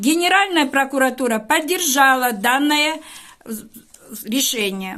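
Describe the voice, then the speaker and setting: A woman speaks in a raised, projected voice with high pitch and lively intonation. Her pace is very slow, broken by long, frequent pauses. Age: 70s. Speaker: teacher making a public appeal. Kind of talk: public video appeal to an official. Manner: formal; earnest, pleading.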